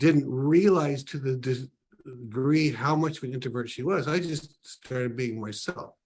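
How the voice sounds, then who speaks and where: A man speaks at a moderate pace in a medium pitch, his somewhat breathy voice showing ordinary pitch variation. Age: 60s. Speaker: ministry leader, book launch guest. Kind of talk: casual interview talk.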